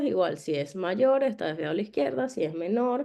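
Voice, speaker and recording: A woman's dark, mellow tone moves through very wide pitch swings. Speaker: dentist lecturing on orthodontic imaging. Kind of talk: online lecture.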